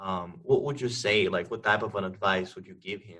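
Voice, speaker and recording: A man with a non-native accent speaks in a bright, sharp tone. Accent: foreign. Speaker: podcast host, art teacher. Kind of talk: casual interview chat.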